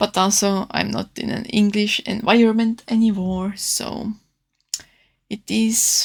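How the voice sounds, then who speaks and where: A woman's medium-pitched, somewhat breathy voice with a non-native accent, fairly slow and monotone, on a very clean recording with a silent background. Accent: non-native English, own R's and S's. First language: not English. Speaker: artist. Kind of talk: casual narrated art tutorial voiceover. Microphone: new microphone, re-recorded audio.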